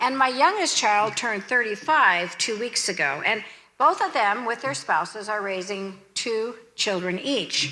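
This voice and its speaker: Against audible room echo, a woman with a fairly high pitch and a bright, sharp tone speaks at a fairly slow pace with lively intonation. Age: 60s. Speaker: pastor. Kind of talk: sermon.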